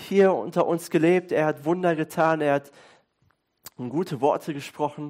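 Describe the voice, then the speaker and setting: A man with a fairly high pitch speaks in an animated, warm tone. The recording is very clean with a silent background. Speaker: pastor. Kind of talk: sermon. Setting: church with congregation. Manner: conversational, fluent, with hesitations like "äh" and "ähm".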